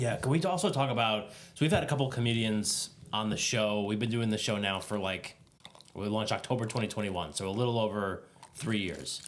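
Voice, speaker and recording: Speaking in a plain, everyday voice, a man talks fairly quickly at a fairly low pitch with ordinary pitch variation. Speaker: podcast host. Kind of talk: podcast interview conversation.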